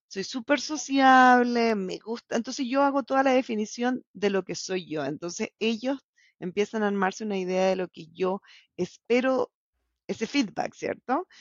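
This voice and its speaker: Her fairly high voice carries lively intonation. The woman talks at a fairly slow pace. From Chile (La Serena), born in Bolivia. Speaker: salmon industry scientist turned commercial professional. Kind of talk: casual interview. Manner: animated.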